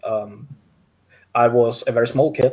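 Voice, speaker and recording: The man's voice is somewhat breathy and medium in pitch. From Denmark. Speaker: mental health advocate. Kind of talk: interview. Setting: video call.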